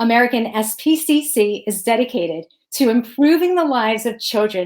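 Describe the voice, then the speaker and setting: With an unremarkable speaking voice, a woman talks at a fairly quick pace, her pitch fairly high and her intonation lively. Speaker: talk show host. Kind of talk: show host introduction.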